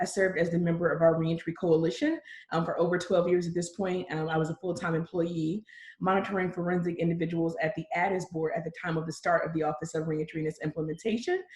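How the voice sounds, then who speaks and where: Somewhat breathy and fairly low in pitch, a woman speaks at a very fast pace in a monotone, flat intonation. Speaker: county reentry office director. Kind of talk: panel self-introduction.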